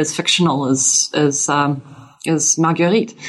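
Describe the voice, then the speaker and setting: Noticeable background noise runs behind a woman's voice. She speaks with an American accent and ordinary pitch variation. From US South, Louisiana. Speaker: historian, professor. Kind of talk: interview about her book.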